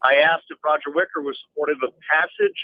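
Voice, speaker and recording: A man is speaking here. His pace is fairly quick. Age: 60s. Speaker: caller, former FBI official. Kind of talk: call-in political commentary. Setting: phone call.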